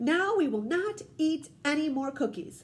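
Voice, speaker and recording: A woman's put-on character voice at a high pitch and a moderate pace. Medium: read story.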